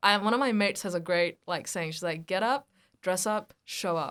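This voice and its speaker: A woman with a New Zealand accent talks at a fairly quick pace on a very clean recording with a silent background. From India, raised in Hamilton, New Zealand. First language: Hindi. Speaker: actor and podcast co-host. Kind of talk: casual chat. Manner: animated.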